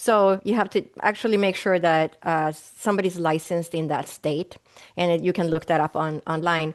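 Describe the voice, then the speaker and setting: A woman with a slight Swedish accent, a fairly low pitch and fairly even intonation, at a moderate pace and very even loudness, over a quiet background. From Sweden. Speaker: naturopathic doctor. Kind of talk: interview answers.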